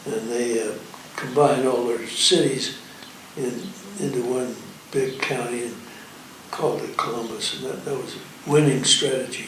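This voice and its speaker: Moderate pace with long, frequent pauses, plus noticeable background noise and audible room echo. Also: man, medium pitch for a man, ordinary pitch variation. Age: 90s. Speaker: retired attorney. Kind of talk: interview. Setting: private club. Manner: halting.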